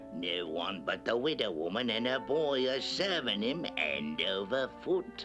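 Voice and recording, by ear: A cartoonish character voice speaks at a fairly slow pace with hardly any pauses over loud music in the background. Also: man, medium pitch for a man.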